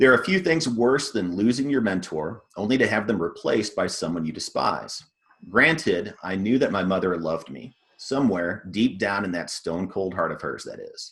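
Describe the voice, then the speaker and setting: With a Texan accent, a man talks at a moderate pace in a fairly low voice whose loudness rises and falls sharply. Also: lively intonation. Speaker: fiction author. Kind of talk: reading aloud; casual talk to an audience. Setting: video call.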